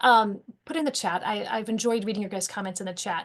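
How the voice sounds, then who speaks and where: A woman talks at a very fast pace. Her pitch is medium. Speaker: teacher trainer. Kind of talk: webinar presentation. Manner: animated.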